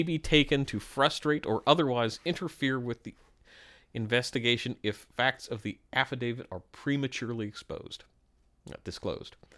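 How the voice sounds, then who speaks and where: A man mumbles in a bright, sharp tone with ordinary pitch variation. The recording is very clean and the background silent. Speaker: streamer reacting to news documents. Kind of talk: live stream commentary with reading aloud. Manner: mumbling.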